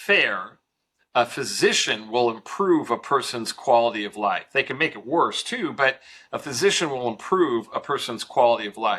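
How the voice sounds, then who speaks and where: A man's medium-pitched, ordinary speaking voice at a fairly slow pace. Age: 60s. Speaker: mortgage company founder. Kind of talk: podcast interview.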